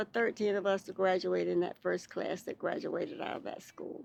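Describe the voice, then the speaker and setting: A woman with a Southern US accent, at a moderate pace. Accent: Southern US (Georgia). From Lithonia, Georgia, US. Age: 80s+. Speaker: former student of a segregated school. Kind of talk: oral history interview answer.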